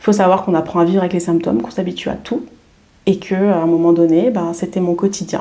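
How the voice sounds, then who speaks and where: The speaker is a woman with a fairly low voice whose pitch moves in an ordinary way. She talks very fast. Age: 30s. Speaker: wellness coach. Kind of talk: podcast interview. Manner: hesitant, many fillers.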